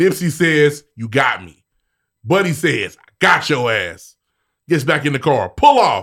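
A man talks at a fairly slow pace with a fairly high pitch and vocal fry. His intonation is lively, and his loudness swings widely. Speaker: podcast co-host. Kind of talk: casual chat.

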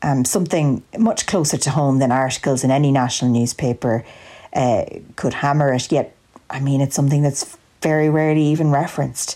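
A woman speaks in an Irish Midlands accent with a very deep, low pitch. She talks at a fairly quick pace with fairly even intonation. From Ireland, County Longford. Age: 20s. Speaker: listener contributor. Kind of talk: prepared monologue.

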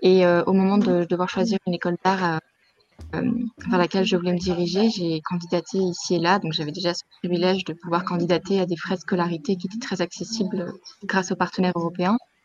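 The speaker's pace is fairly quick. She is a woman with a medium pitch. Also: dry, close sound with no echo. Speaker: former student. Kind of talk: testimony.

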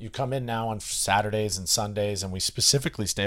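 The recording is very clean with a silent background. The speaker has an American accent. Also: man. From US Northeast, Boston area (Westwood, Massachusetts). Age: 30s. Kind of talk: casual chat.

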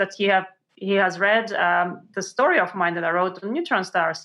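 Over a quiet background, a woman with a Russian accent speaks at medium pitch in a bright, sharp tone with fairly even intonation. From Montreal, Canada (born in Russia). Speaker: science journalist and author. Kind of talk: interview. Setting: remote call.

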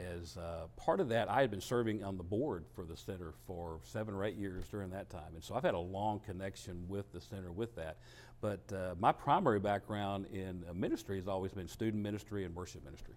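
A man with a Texan accent talks at a fairly quick pace in a fairly low pitch, his loudness swinging widely while his pitch varies in an ordinary way. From Texas, Dallas area. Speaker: food pantry director and former minister. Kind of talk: interview.

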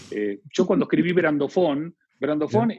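A man speaks with an Argentine accent at a moderate pace. His pitch swings very widely. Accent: Argentine Spanish (voseo). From Argentina. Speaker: branding consultant and author. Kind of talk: interview.

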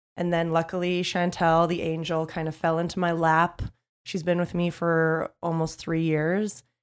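Against a silent background in a very clean recording, a woman with a fairly low voice speaks at a moderate pace in a monotone, flat intonation. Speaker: PR agency owner. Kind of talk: interview, casual conversation.

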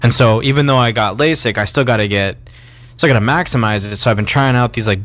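At a fairly quick pace, a man speaks in a normal speaking voice with medium pitch and ordinary pitch variation. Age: 30s. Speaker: podcast co-host. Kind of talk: casual chat. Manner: joking.

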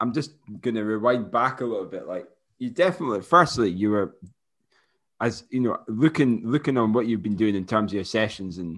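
A man with a Scottish accent talks at a fairly quick pace in a fairly low pitch. The background is quiet. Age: 30s. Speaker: running podcast co-host. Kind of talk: casual chat. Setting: remote call.

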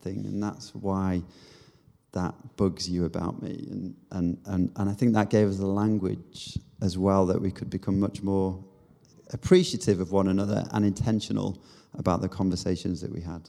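At a moderate pace, a man with a Manchester accent speaks in a fairly low pitch with a dark, mellow tone. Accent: Mancunian northern English. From Manchester area, northern England. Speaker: leadership coach. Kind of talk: casual chat.

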